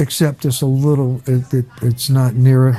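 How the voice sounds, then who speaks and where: The speaker talks with an American accent over music playing in the background. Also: man. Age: 70s. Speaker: restaurant owner. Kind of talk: casual chat. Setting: restaurant. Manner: halting.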